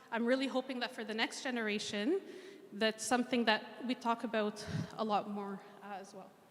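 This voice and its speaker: A woman with a Canadian accent at a fairly quick pace, fairly even intonation, noticeable background noise. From Egypt, then Montreal and Ottawa, Canada from childhood. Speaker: mental health clinician. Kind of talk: interactive talk.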